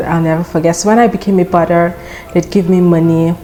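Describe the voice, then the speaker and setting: In a Nigerian accent, a woman with a fairly low pitch speaks with fairly even intonation against noticeable background noise. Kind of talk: casual storytime talk to camera.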